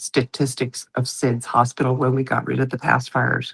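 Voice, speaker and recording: A woman speaks with a very deep, low pitch and vocal fry. Her delivery is flat and monotone, with a dry, close sound and no echo. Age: 60s. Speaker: legislative advisor and former nursing researcher. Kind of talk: podcast interview.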